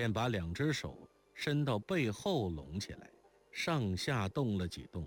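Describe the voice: Plain reading aloud with lively intonation fills the clip.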